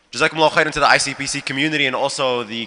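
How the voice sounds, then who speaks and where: Here a man speaks very fast at medium pitch with ordinary pitch variation. Noticeable background noise runs underneath. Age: 20s. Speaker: youth ambassador and community organizer. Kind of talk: panel talk.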